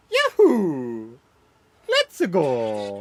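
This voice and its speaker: The speaker uses a put-on character voice with a low-to-middle pitch. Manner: cheerful, excited.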